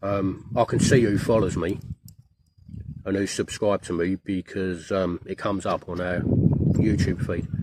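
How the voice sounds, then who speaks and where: Speaking with a British accent, the man has a fairly low pitch, fairly even intonation and a fairly slow pace. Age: 50s. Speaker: van life vlogger. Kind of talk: casual vlog monologue. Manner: halting, repeats words.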